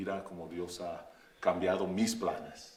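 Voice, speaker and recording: A man with an English accent speaks at a fairly low pitch with fairly even intonation. The room echo is audible. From Oakland, California, US. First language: English (speaking Spanish). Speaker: pastor. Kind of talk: interview. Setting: Facebook live stream. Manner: halting.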